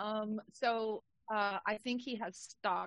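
The speaker is a woman. Her pitch is medium. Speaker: podcast co-host. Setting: video call.

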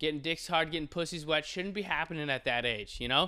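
Over a silent background on a very clean recording, a man speaks at a fairly high pitch in an animated tone. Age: 20s. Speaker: podcast host. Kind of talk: casual solo monologue.

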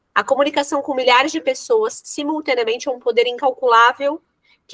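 Her voice sits high in pitch. The recording sounds dry and close, without any echo. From São Paulo, Brazil. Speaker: podcast co-host. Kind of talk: interview.

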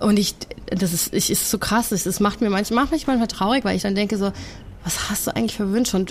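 An ordinary speaking voice, a woman at medium pitch, fairly quick pace, ordinary pitch variation. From Germany and the USA. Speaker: cancer activist and author. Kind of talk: casual interview.

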